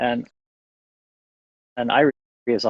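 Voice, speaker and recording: A man speaks in a fairly low pitch with an American accent. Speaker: winemaker. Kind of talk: casual chat. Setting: Instagram live video stream, outdoors in vineyard.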